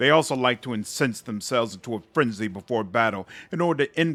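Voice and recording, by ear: Someone reads aloud naturally, the intonation lively and bouncing.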